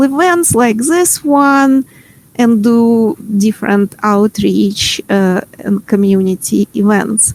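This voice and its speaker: A woman's fairly high, lively voice with a Ukrainian accent, in a dry, close sound with no echo. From Ukraine. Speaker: workshop facilitator. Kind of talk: online workshop presentation. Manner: hesitant, many fillers.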